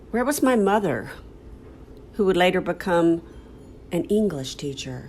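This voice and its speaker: This woman talks with an American accent at a medium pitch. Her pitch swings very widely. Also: moderate pace. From Southern United States. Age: 70s. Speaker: actor. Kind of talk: podcast storytelling.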